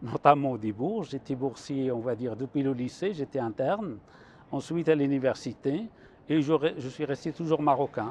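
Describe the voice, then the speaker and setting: A man talks at a moderate pace in a fairly high pitch. His pitch variation is ordinary. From Morocco, Chaouia region (Benslimane). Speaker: mathematics professor. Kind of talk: TV interview, explaining mathematics. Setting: TV studio on a university campus. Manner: hesitant, with fillers and restarts.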